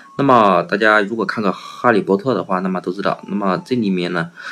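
A man with a fairly low pitch talks at a fairly quick pace over noticeable background noise. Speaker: English vocabulary teacher. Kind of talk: tutorial. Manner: frequent fillers and rhetorical questions.

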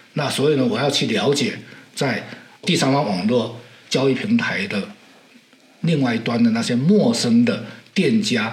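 A man at a fairly high pitch and a moderate pace, with very wide pitch swings, audible room echo and noticeable background noise. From southern Fujian, China. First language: Southern Min (Hokkien) (speaking Chinese). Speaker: maritime technology historian and sailor. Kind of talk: interview. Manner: hesitant, many fillers.

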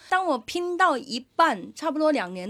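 On a very clean recording with a silent background, a woman talks at a moderate pace. Her pitch swings very widely. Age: 30s. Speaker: podcast host and comedy show organizer. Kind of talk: casual chat.

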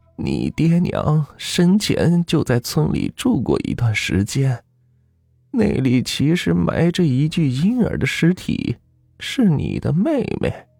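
Using a put-on character voice, a man speaks slowly in a dark, mellow tone with vocal fry and very wide pitch swings, as faint music plays in the background. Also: fairly high pitch for a man.

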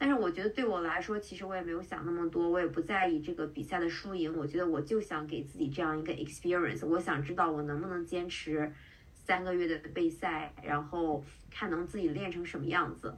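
A woman with a fairly low pitch and fairly even intonation talks at a fairly quick pace over noticeable background noise. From China (Qingdao). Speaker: tech product manager and amateur bodybuilding competitor. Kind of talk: podcast interview.

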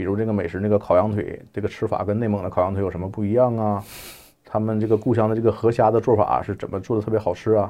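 A man talks at a very fast pace in a fairly low voice. His intonation is monotone and flat. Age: 40s. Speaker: journalist and editor. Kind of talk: casual interview chat.

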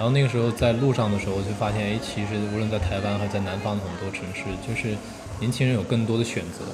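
A man at a fairly low pitch and a very fast pace, with fairly even intonation, amid audible room echo and noticeable background noise. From China, Jiangsu. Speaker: independent bookshop owner. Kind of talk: interview conversation. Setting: café in Beijing.

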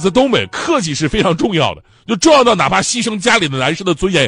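Music plays in the background as a man speaks at a high pitch. He moves at a fairly quick pace, with very wide pitch swings. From Northeast China. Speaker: comedy talk show host. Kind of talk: stand-up. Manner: animated.

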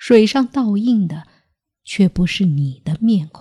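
A woman of medium pitch speaks at a very slow pace, somewhat breathy and with a dark, mellow tone and lively intonation. The recording is very clean with a silent background and a dry, close sound with no echo. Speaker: podcast host telling strange tales. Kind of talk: ghost story narration, scripted storytelling.

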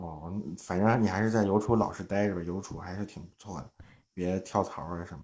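A man with a very deep, low pitch speaks at a fairly quick pace. His intonation is fairly even, though his loudness swings widely. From Hebei, Zhangjiakou. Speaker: longtime listener calling in. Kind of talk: casual chat.

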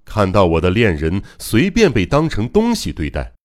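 The recording is very clean, its background silent. On it, a man talks at a fairly slow pace. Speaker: audiobook narrator. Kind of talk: literary audiobook narration, first-person. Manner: mournful, slow and solemn, with restrained grief rising to fierce, resolute vows; dramatic, emotionally charged.

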